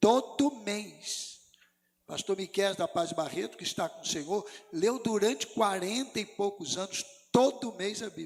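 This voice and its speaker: A man's high voice with lively intonation at a fairly slow pace. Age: 60s. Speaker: pastor. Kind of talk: sermon.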